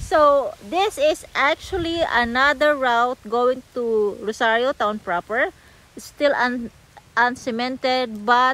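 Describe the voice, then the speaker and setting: A woman's high-pitched voice at a very slow pace, with ordinary pitch variation and dry sound with no echo. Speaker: property seller vlogger. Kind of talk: casual vlog chat. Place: open country. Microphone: phone near.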